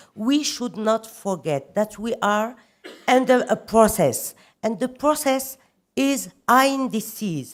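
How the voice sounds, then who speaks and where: A woman speaks very slowly at a fairly high pitch with lively intonation. The recording is very clean, with a silent background. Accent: non-native. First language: French. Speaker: government official. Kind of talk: conference speech. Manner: halting.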